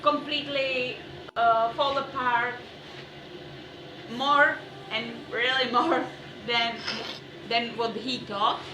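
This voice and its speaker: With a non-native accent, a woman speaks in a raised, projected voice at a high pitch and very slow pace. Audible room echo and noticeable background noise surround her. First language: not English. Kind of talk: casual chat. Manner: halting.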